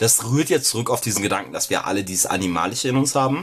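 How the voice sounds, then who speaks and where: Lively intonation runs through this man's unremarkable speaking voice, pitched fairly low. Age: 20s. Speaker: podcast co-host. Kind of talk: casual chat.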